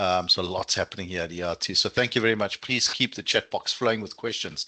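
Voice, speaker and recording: Dry and close with no echo, a man speaks in a South African accent with a bright, sharp tone. The background is quiet. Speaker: student recruitment manager. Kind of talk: webinar presentation. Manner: animated.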